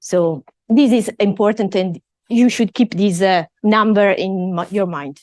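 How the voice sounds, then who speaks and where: Speaking at a fairly slow pace, a woman with an Italian accent uses medium pitch and ordinary pitch variation, in a dry, close sound with no echo. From Italy. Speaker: professor. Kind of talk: lecture.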